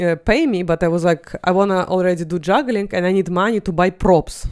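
With a Russian accent, a woman talks at a fairly quick pace with hardly any pauses, her medium pitch showing ordinary pitch variation. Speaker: comedian. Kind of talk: casual chat.

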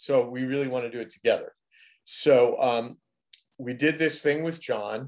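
A man with a plain, everyday voice at medium pitch, a moderate pace and fairly even intonation. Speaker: composer. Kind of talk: interview.

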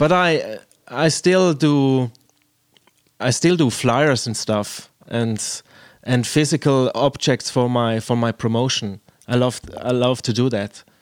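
A man with a Swiss German accent speaks at a very slow pace, leaving long, frequent pauses and using ordinary pitch variation. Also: medium pitch for a man. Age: 30s. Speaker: podcast host and DJ. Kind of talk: casual interview. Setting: video call. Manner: halting.

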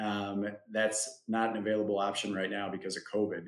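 Speaking at a moderate pace, a man has medium pitch and an ordinary speaking voice. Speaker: insurance agent. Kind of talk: webinar explanation of Medicare plans. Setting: online webinar, live.

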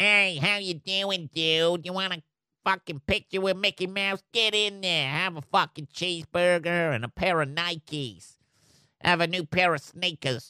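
A man's whiny, nasal put-on character voice, high in pitch, at a moderate pace on a very clean recording with a silent background

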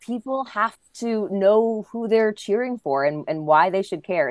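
A woman uses a normal speaking voice with lively intonation at a moderate pace. The background is quiet. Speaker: tennis announcer and interviewer. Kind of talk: casual interview chat.

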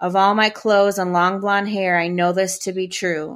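A woman with an American accent speaks in a normal speaking voice at medium pitch, moving at a moderate pace with fairly even intonation over a very clean recording with a silent background. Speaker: podcaster. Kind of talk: casual chat; poem performed aloud, reading a teenage diary poem.

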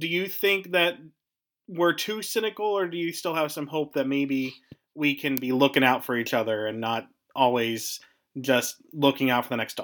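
With an American accent, a man uses a plain, everyday voice at a fairly high pitch, moving at a moderate pace with lively intonation. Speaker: podcast host and local council member. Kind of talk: interview.

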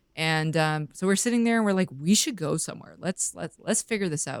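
The woman speaks with a western Canadian accent, and the sound is dry and close with no echo. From Vancouver, British Columbia, Canada. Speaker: fishing photographer and filmmaker. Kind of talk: casual interview.

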